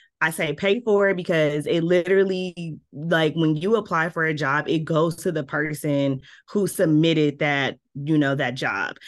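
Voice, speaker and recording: Over a quiet background, a woman with a slight Southern US accent speaks in a very deep, low pitch with ordinary pitch variation. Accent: slight Southern twang at times. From Milwaukee, US Midwest. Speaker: PR and communications director. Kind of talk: interview. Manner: animated.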